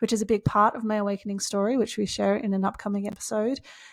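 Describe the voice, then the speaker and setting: Fairly high in pitch, a woman with an Australian accent speaks at a very fast pace. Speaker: podcast co-host, spiritual coach. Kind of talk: podcast introduction chat.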